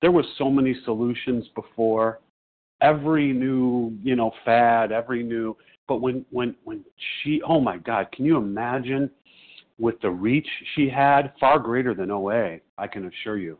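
In an American accent, a man talks at a fairly slow pace with ordinary pitch variation and an unremarkable speaking voice. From Chicago. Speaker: support group member. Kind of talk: personal testimony. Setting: phone conference call.

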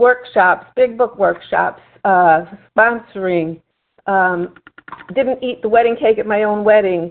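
A woman speaks at a fairly slow pace. Her voice sits at a fairly high pitch. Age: 60s. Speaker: recovering compulsive overeater. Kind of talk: testimony. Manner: halting, with fillers.

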